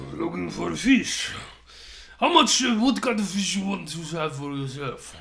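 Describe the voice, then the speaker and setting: Putting on a character voice, a man talks at a moderate pace in a high pitch, with audible echo around him. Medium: actual play. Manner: pushy, teasing salesman.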